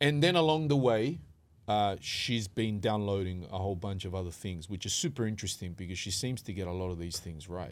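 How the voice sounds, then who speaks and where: Using lively intonation, a man speaks at a fairly quick pace with a fairly low pitch. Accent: Australian. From western Sydney, Australia. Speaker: rapper and events manager. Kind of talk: casual interview. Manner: calm.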